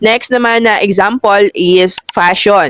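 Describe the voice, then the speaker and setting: A woman speaks at a very slow pace with ordinary pitch variation. The sound is dry and close, with no echo. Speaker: affiliate marketing vlogger. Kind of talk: tutorial.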